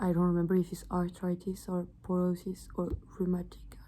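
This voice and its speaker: A woman speaks with a French accent at a moderate pace. Her voice is fairly low, with a dark, mellow tone. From France. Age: 20s. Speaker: medical student. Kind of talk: study revision talk to camera. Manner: casual, hesitant.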